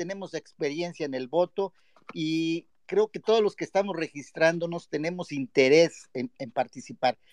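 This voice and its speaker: In a dry, close recording with no echo, a man speaks at a high pitch and a fairly slow pace with ordinary pitch variation. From Mexico, Guerrero (Acapulco). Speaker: caller. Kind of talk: casual chat.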